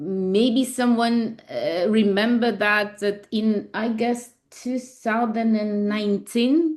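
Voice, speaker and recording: A woman's fairly high voice at a very slow pace. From Ukraine. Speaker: labor lawyer. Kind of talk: webinar presentation. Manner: halting.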